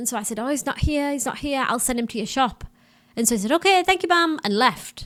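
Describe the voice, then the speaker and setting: On a very clean recording with a silent background, a woman speaks with a strong Middlesbrough accent. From northern England, Middlesbrough. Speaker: missionary and podcast host. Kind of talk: interview answers, casual chat.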